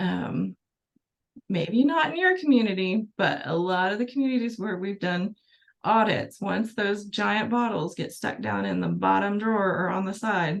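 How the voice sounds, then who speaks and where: At a moderate pace and medium pitch, a woman talks in an unremarkable speaking voice with ordinary pitch variation. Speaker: pharmacy presenter. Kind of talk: webinar presentation. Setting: webinar.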